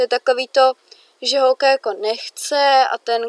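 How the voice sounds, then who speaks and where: A woman with a high-pitched voice talks at a moderate pace, recorded dry and close with no echo against a silent background in a very clean recording. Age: young. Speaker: podcast co-host. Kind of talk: casual chat.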